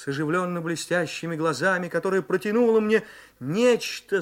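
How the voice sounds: Someone uses a natural reading voice whose pitch varies in an ordinary way.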